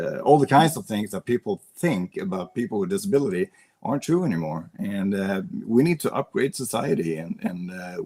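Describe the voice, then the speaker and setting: Delivered at a fairly quick pace with a Swedish accent, the voice has very wide pitch swings and a dry, close sound with no echo. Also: man, medium pitch for a man. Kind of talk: podcast interview. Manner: halting.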